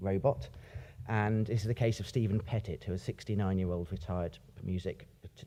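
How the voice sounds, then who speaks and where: Lively intonation in a somewhat breathy voice at a moderate pace. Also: man. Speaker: academic ethicist. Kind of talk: conference talk. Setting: stage with audience. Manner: pauses, repeats words.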